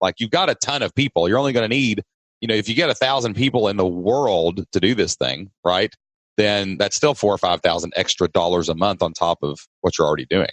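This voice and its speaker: A man with a Southern US accent, fairly low in pitch, with lively intonation and a fairly quick pace, in a dry, close sound with no echo and a quiet background. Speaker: podcast host. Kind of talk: casual podcast conversation.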